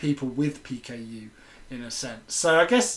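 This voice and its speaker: With an English Midlands accent, a man speaks at a fairly high pitch. He keeps his intonation fairly even. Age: 20s. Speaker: film lecturer and chat host. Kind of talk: casual chat. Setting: live video chat.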